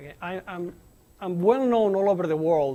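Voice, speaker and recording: A man with a Spanish accent speaks at a fairly quick pace in a dark, mellow tone. His pitch is high and his intonation lively. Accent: noticeable Spanish accent in English. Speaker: nuclear engineer giving a colloquium talk. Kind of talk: lecture. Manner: animated, informal with many fillers.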